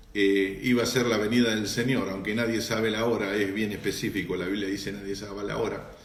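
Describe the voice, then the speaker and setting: A man with an Argentine accent, plus audible room echo. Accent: Argentine Spanish (rioplatense voseo). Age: 60s. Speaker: pastor. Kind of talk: live-stream Q&A and greetings with church audience. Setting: Instagram live broadcast.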